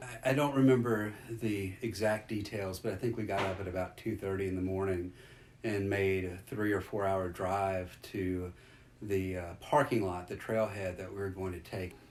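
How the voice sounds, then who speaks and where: A man with an American accent speaks at a moderate pace in a fairly low pitch. It is a plain, everyday voice with fairly even intonation. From US South, South Louisiana. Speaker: interviewee recounting family adventure. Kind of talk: interview storytelling.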